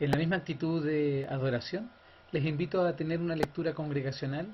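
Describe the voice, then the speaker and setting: Speaking fairly quickly, a man has a plain, everyday voice with a fairly high pitch and ordinary pitch variation. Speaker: church worship leader. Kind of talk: church service, leading scripture reading.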